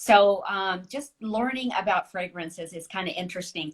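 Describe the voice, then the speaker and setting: With an ordinary speaking voice, this woman uses lively intonation and keeps a moderate pace. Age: 60s. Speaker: author. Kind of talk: casual chat.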